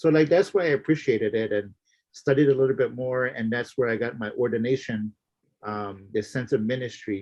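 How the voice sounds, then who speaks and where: A man talks fairly quickly in a medium pitch, his pitch varying in an ordinary way. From Florida Everglades, Miccosukee tribe. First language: Miccosukee. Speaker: minister and activist. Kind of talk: interview conversation.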